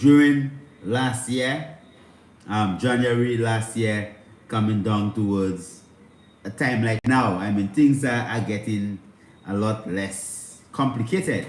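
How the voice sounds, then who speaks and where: A man talks at a very slow pace with ordinary pitch variation. His voice carries audible room echo. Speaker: spiritual livestream host. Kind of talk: livestream spiritual talk. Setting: livestream on instagram and youtube. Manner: speaking low.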